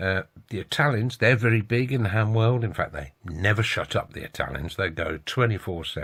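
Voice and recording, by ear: At a fairly quick pace, a man speaks with a fairly low pitch, ordinary pitch variation and a fairly bright tone.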